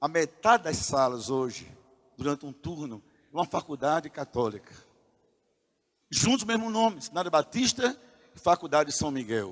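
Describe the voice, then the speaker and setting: The voice moves at a moderate pace with long, frequent pauses and very wide pitch swings, its sound dry and close with no echo. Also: man, fairly high pitch for a man. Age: 60s. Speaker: pastor. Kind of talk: sermon. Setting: church.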